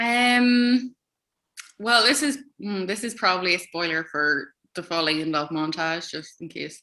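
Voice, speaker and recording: A woman speaks with an Irish accent at a medium pitch and a fairly slow pace. Her tone is bright and sharp, with lively intonation and big swings in loudness. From Ireland. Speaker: author. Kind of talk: interview. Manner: hesitant, many fillers.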